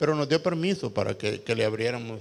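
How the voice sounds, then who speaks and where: The speaker is a man. He goes at a moderate pace. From El Salvador, Santa Tecla. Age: 60s. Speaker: rock musician. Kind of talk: panel talk. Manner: halting, many repetitions.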